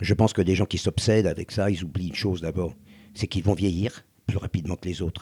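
The pace is fairly quick. There is a somewhat breathy quality to the voice. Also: man. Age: 70s. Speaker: former croupier and restaurateur. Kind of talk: casual conversation. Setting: outdoors on a beach.

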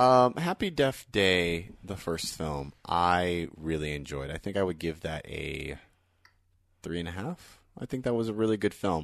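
A man with a very deep, low voice speaks with lively intonation against a quiet background. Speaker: podcast host. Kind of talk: casual chat. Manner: loud, shouts into the microphone.

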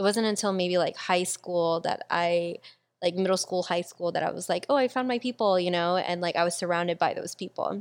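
On a very clean recording with a silent background, a woman uses a normal speaking voice at a medium pitch, speaking at a fairly quick pace with ordinary pitch variation. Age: 20s. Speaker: podcast host. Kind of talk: casual chat.

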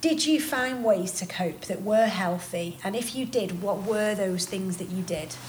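With a British accent, a woman speaks at a fairly slow pace with lively intonation and hardly any pauses, against noticeable background noise. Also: medium pitch for a woman. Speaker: singer and podcast host. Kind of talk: casual interview chat.

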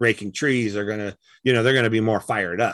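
This man has an unremarkable speaking voice at medium pitch, with fairly even intonation and a dry, close sound with no echo. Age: 50s. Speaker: elk calling champion and game call maker. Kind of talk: casual interview chat.

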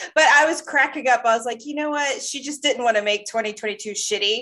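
Her voice is high-pitched with a bright, sharp tone and ordinary pitch variation, coming from a woman. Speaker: podcast host. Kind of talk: casual chat.

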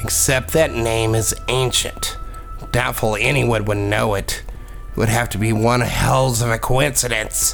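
Over clear background music, a man in a put-on character voice speaks at a moderate pace and medium pitch. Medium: audio drama. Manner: calm, measured, almost absent.

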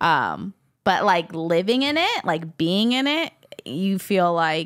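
A woman speaks with a fairly low voice and very wide swings in pitch, recorded very cleanly against a silent background. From Hawaii. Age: 20s. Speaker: church member. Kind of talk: casual chat.

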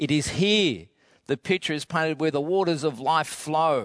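This man has a plain, everyday voice, fairly high in pitch with ordinary pitch variation, speaking at a fairly slow pace in a dry, close sound with no echo and a quiet background. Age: 60s. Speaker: pastor. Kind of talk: sermon. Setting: empty auditorium, filmed for online broadcast.

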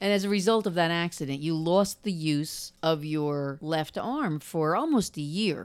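A woman with a New Jersey accent, fairly low in pitch with ordinary pitch variation, at a fairly slow pace with hardly any pauses, on a very clean recording with a silent background. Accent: New Jersey American. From New Jersey, Monmouth County. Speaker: podcast host. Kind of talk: interview conversation.

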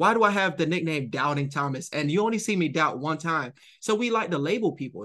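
A man talks at a fairly quick pace with a fairly high pitch and ordinary pitch variation. He has an ordinary speaking voice, set against a quiet background. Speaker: author and dating speaker. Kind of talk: interview conversation.

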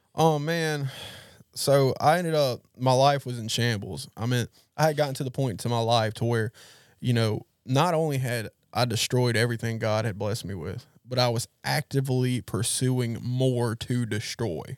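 A man with an American accent speaks at a medium pitch. He has a plain, everyday voice. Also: ordinary pitch variation, moderate pace. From US South, Gulfport, Mississippi. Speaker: recovery ministry leader. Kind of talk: testimony. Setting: studio.

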